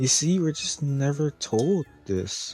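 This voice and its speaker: Music plays in the background. The speaker talks at a very slow pace. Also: man. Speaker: animatronic reviewer. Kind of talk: casual review talk.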